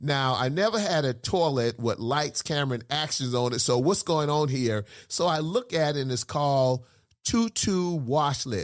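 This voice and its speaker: A man's fairly high voice, animated with lively intonation at a moderate pace, on a very clean recording with a silent background. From South Carolina, US South. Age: 60s. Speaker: pastor. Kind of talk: casual chat.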